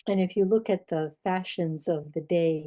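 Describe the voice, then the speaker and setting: In an American accent, a woman speaks fairly slowly with a dark, mellow tone and fairly even intonation. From Pittsburgh, Mount Washington. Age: 70s. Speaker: oral history interviewee. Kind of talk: oral history interview.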